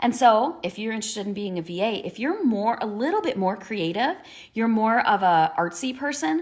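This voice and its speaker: Noticeable background noise runs under this recording. A woman speaks in a fairly high pitch with very wide pitch swings. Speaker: business coach. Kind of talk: casual talking-head video. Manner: animated.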